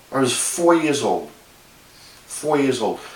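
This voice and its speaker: A man speaks with a New York accent and fairly even intonation. Noticeable background noise and audible room echo are present. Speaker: video blogger. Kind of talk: casual monologue. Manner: halting, many fillers.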